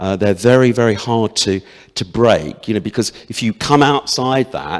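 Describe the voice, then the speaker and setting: On a very clean recording with a silent background, a man in an unremarkable speaking voice talks at a moderate pace with ordinary pitch variation. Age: 60s. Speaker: parliamentary candidate. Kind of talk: hustings debate answer.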